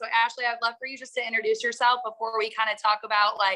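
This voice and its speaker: The woman's voice sits at a fairly high pitch with a bright, sharp tone. Her intonation stays fairly even. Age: 30s. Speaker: teacher and coach. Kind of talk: sales pitch.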